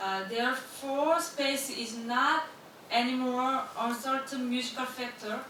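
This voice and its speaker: A woman speaks at a high pitch in a raised, projected voice, at a fairly slow pace with fairly even intonation. Noticeable background noise and audible room echo fill the recording. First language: Korean. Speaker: academic presenter. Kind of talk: conference presentation. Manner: halting; reading from text.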